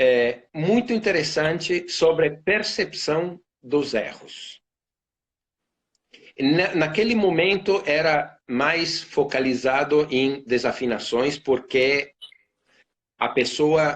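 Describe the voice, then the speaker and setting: With an Italian accent, a man speaks at a very slow pace with long, frequent pauses, a fairly high pitch, ordinary pitch variation and very even loudness. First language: Italian (speaking Portuguese). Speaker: violinist and orchestra concertmaster. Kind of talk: casual interview on a live stream. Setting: Instagram live video call. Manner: halting, many fillers and repetitions.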